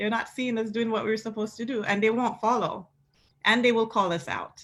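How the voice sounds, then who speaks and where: In a Caribbean accent, a woman speaks at a fairly quick pace. Her fairly high voice stays monotone and flat. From Caribbean, St. Lucia. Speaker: pastor. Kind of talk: panel discussion. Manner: impassioned.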